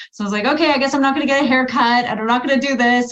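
A woman's voice comes through somewhat breathy. There is audible room echo. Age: 40s. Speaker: women's health coach. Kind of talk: interview.

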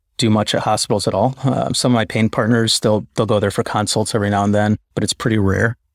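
A man with an American accent, fairly low pitch and fairly even intonation, in an ordinary speaking voice. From Chicago. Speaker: interventional radiologist. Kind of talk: casual interview. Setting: video call.

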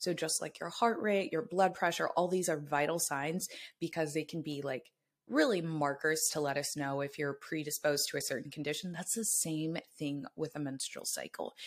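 A woman with a very deep, low pitch and ordinary pitch variation speaks in an animated tone at a moderate pace on a very clean recording with a silent background. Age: 20s. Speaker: fertility awareness educator. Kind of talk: casual interview chat.

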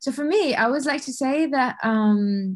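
Lively intonation from a woman, her voice somewhat breathy. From Bahrain. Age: 20s. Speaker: football data analyst. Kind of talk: podcast interview.

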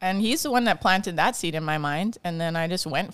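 With a Hawaiian accent, a woman talks in a fairly low pitch with ordinary pitch variation. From Hawaii (Kauai). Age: 40s. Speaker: dance teacher and council candidate. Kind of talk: casual chat.

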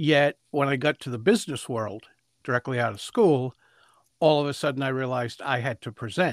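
A man at medium pitch, moderate pace and ordinary pitch variation, in a dry, close sound with no echo

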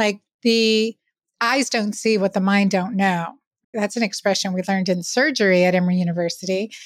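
A woman with an ordinary speaking voice at medium pitch, moderate pace, fairly even intonation and very even loudness, in a very clean recording with a silent background. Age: 50s. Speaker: physician. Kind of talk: interview.

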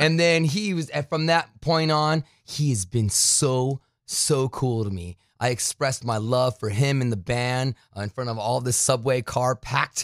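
In a very clean recording with a silent background and a dry, close sound with no echo, a man speaks at a fairly slow pace with ordinary pitch variation. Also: medium pitch for a man. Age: 40s. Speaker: metal radio host and programmer. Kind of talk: casual interview. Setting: studio. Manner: animated.

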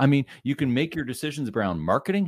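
Very fast and lively in intonation, a man with a Canadian accent talks in a dry, close sound with no echo on a very clean recording with a silent background. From Canada, Ottawa area. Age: 50s. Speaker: business coach. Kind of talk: podcast interview.

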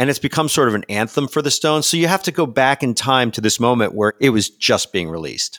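Medium in pitch, a man with lively intonation uses a normal speaking voice in a very clean recording with a silent background and a dry, close sound with no echo. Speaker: podcast host. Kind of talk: casual interview.

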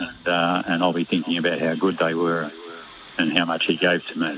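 Against noticeable background noise, a man with an Australian accent talks at a fairly quick pace in a very deep, low pitch, with monotone, flat intonation. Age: 70s.

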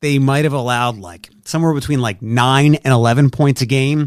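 On a dry, close recording with no echo, a man with an American accent talks at a medium pitch in an unremarkable speaking voice with ordinary pitch variation. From Philadelphia, US. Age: 40s. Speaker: radio host. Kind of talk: casual chat.

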